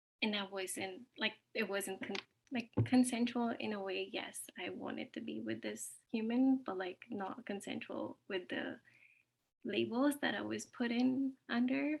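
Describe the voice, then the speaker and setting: A woman speaks fairly slowly in a fairly high, somewhat breathy voice with ordinary pitch variation. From Ontario, Canada. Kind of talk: sharing circle introduction. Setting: video call from work.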